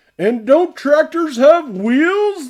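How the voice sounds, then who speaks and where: A woman's put-on character voice, high in pitch with very wide pitch swings. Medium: read story. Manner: wondering, innocent.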